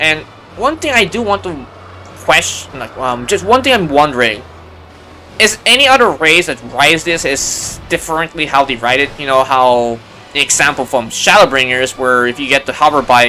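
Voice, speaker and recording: There is noticeable background noise behind a man speaking at a moderate pace. His pitch sits fairly high for a man. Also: lively intonation. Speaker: gaming YouTuber. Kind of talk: gameplay commentary. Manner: halting.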